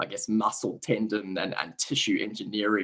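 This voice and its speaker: A man with a South African accent. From South Africa, Cape Town. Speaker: sports science researcher. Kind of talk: interview. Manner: halting, frequent repetitions and fillers.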